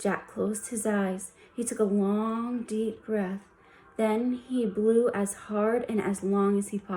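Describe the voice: Fairly even intonation during plain reading aloud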